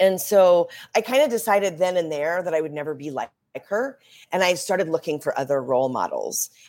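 Her intonation lively, a woman with an American accent speaks in a fairly low voice. She moves at a fairly quick pace. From Minnesota. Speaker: feng shui consultant. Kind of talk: interview.

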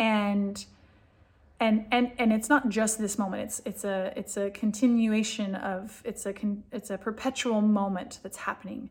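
Speaking with an American accent, a woman has a somewhat breathy, fairly high voice, moving at a fairly slow pace with monotone, flat intonation. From California. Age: 40s. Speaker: food and mood coach. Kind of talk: solo talk to camera with guided exercise. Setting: home office in a bomb shelter.

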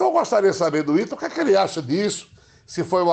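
A man's voice with a high pitch. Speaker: veteran sports journalist. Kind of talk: recorded question.

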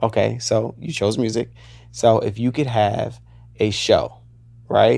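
The speaker, with an American accent, goes at a fairly slow pace with long, frequent pauses. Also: man. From Virginia. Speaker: podcast host. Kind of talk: casual interview chat.

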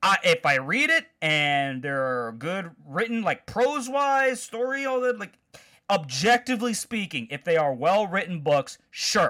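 In a very clean recording with a silent background, a man with an American accent speaks fairly slowly in a raised, projected voice, his bright, sharp tone swinging very widely in pitch. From Chicago, US Midwest. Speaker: podcast co-host. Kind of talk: casual chat.

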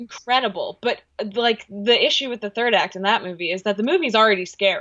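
A woman speaks in a plain, everyday voice, pitched fairly high. Her pace is fairly quick, with ordinary pitch variation. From Chicago. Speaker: film critic and writer. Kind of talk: casual chat.

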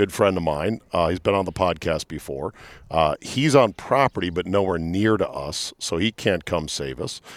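A man speaks loud and at a moderate pace, his very deep, low pitch showing ordinary variation, on a very clean recording with a silent background. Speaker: radio host. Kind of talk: casual chat. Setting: outdoors.

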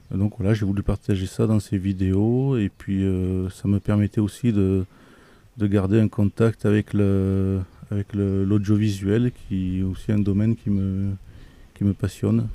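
Dry and close with no echo, a man speaks at a fairly slow pace in a dark, mellow tone. His fairly low pitch stays monotone and flat. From southeastern France (Mistral region). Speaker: cartoonist and permaculture gardener. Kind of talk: interview. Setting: outdoors in a barn on a farm. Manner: halting.

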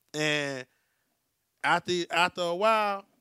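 High, bright and sharp male voice in an animated tone, with a dry, close sound with no echo on a very clean recording with a silent background. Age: 40s. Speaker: comedian. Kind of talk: casual chat.

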